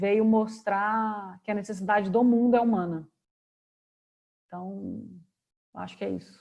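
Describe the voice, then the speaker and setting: A woman with a Minas Gerais accent speaks at a fairly slow pace, with medium pitch and a dark, mellow tone. Her intonation is fairly even, broken by long, frequent pauses. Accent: Minas Gerais accent (mineiro). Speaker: career and work speaker. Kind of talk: online talk Q&A.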